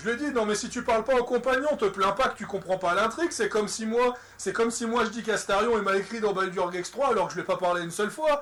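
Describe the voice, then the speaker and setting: A man with a high voice speaks at a very fast pace amid noticeable background noise. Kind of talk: casual game review talk. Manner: stutters.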